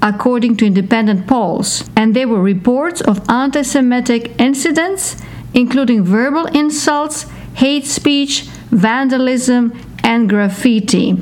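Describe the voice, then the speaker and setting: Against noticeable background noise, a woman talks fairly slowly in a high pitch, with ordinary pitch variation and very even loudness. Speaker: podcast co-host. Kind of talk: interview.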